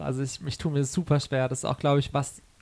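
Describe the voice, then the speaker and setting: Talking at a very fast rate, a man keeps his pitch fairly high. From Karlsruhe, Baden, southwest Germany. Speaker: singer-songwriter. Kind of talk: interview. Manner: hesitant with many fillers.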